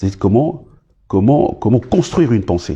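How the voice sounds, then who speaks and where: Speaking at a moderate pace and a medium pitch, a man uses a dark, mellow, somewhat breathy tone with very wide pitch swings. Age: 60s. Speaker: former government minister. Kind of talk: interview. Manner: halting, many hesitations.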